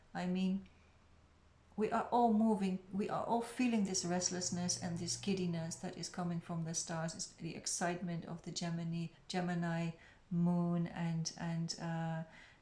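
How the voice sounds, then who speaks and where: At a moderate pace, the voice has a dark, mellow tone, sounds somewhat breathy, and keeps a fairly even intonation. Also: woman, fairly low pitch for a woman. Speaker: tarot reader. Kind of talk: tarot reading. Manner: lower and quieter; hesitant.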